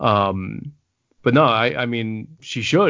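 A man speaks in a New York accent. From New York City, the Bronx. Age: 30s. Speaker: author and anthology editor. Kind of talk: casual interview.

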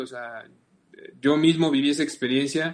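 A man with a Mexican accent speaks in a flat monotone. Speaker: podcast host. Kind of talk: interview.

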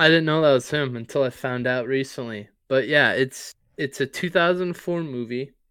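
At a moderate pace, a man with a fairly high pitch and ordinary pitch variation has an unremarkable speaking voice. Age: 20s. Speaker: sports podcast co-host. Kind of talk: casual chat.

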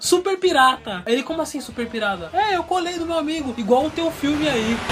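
The delivery moves at a fairly quick pace with lively intonation. Background noise is noticeable. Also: man. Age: 20s. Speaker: podcast host. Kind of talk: casual chat.

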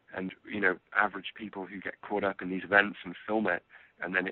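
A man's fairly low voice with an English accent, monotone and flat, at a fairly quick pace. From England. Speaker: film producer. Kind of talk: interview.

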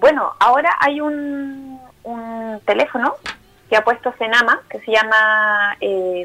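Her voice fairly high, a woman speaks with ordinary pitch variation. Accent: Chilean. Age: 30s. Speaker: psychologist and older-people rights activist. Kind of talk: interview.

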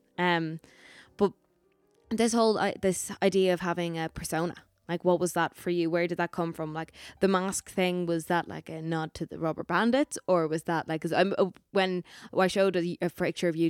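Speaking in an Irish accent, a woman with a fairly low pitch moves at a fairly quick pace and keeps a fairly even intonation, the sound dry and close with no echo. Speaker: podcast host. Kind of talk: casual interview chat.

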